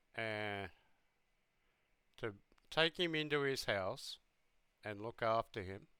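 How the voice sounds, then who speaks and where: A man talks very slowly, leaving long, frequent pauses. His tone is bright and sharp, and his intonation is lively. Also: medium pitch for a man. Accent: Australian. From Australia. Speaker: reaction youtuber and English teacher. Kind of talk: casual reaction commentary. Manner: animated.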